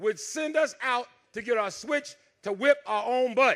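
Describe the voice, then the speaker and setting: In a Southern US accent, a man talks at a moderate pace with an extremely high pitch. His tone is animated, and his pitch varies in an ordinary way. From US South, Dothan, Alabama. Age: 60s. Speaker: comedian. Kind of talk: stand-up.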